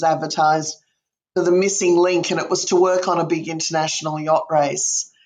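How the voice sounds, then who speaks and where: With an Australian accent, a woman speaks at a fairly quick pace in a fairly low pitch. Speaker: museum director. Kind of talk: interview.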